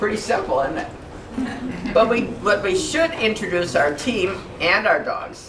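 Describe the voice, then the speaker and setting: Over noticeable background noise, a woman speaks loudly and at a fairly slow pace, her fairly high pitch moving in very wide swings. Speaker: guide dog charity volunteer speaker. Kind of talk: informal talk to senior center audience. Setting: room with live audience, no microphone.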